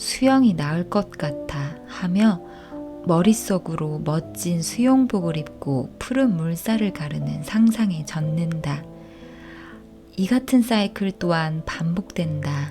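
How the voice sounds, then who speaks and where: A woman speaks very slowly in a fairly low voice, her tone calm and soothing. Her intonation is lively, with music playing in the background. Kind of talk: audiobook reading. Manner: calm, soothing.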